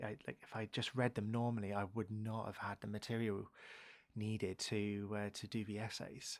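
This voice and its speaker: A soft-spoken man with a fairly low pitch, a fairly quick pace and monotone, flat intonation. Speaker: ASMR streamer who went to university. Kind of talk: live ASMR stream, soft-spoken chatting while reading a book aloud. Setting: studio, close condenser microphone. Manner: soft-spoken, quiet.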